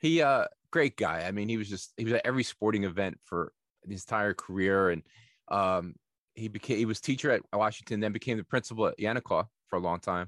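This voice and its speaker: Very fast speech from a man with a New Jersey accent and fairly low pitch, dry and close with no echo against a quiet background. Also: ordinary pitch variation. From Nutley, New Jersey, US. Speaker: podcast host. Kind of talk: casual interview.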